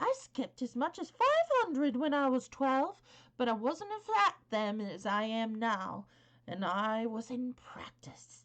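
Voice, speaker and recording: Putting on a character voice, a woman speaks in a high pitch. Her pace is fairly slow. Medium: read story. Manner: blunt, hearty, homely.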